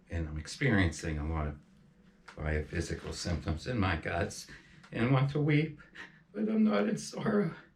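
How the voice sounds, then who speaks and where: Amid audible room echo, a man with a fairly low pitch and very wide pitch swings speaks at a moderate pace, leaving long, frequent pauses. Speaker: spiritual channeler. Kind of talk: emotional personal monologue. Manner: halting.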